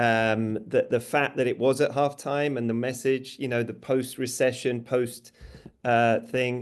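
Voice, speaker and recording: Here a man speaks in a British accent at a medium pitch and a fairly slow pace. His intonation is monotone and flat, over a quiet background. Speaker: advertising strategist. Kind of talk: panel discussion.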